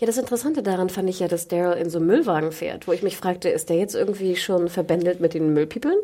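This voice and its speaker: A woman speaks at a very fast pace with hardly any pauses, her pitch medium and its variation ordinary. Her tone is dark and mellow. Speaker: podcast co-host. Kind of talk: casual chat. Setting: studio.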